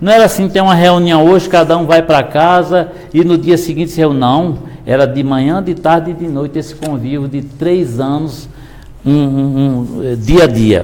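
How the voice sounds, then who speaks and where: A man speaks at a moderate pace in a fairly high pitch with ordinary pitch variation. The room echo is audible and there is noticeable background noise. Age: 60s. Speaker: pastor. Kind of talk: sermon.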